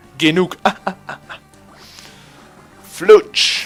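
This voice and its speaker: With music playing behind, the speaker talks in a Swiss German accent. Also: man. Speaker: let's play gamer. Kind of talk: casual gameplay commentary. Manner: excitable, energetic.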